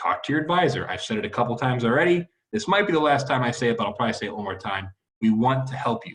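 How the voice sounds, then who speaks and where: A man rattles along at a very fast pace and medium pitch, his intonation lively. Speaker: university academic advisor. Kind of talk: informational video talk to students. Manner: casual, conversational.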